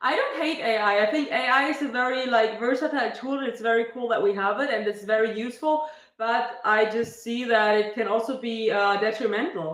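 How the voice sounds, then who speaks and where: The pace is moderate, with ordinary pitch variation. Room echo can be heard. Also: woman. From Germany, Berlin. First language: German. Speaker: fitness streamer. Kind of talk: casual live stream chat. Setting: live stream.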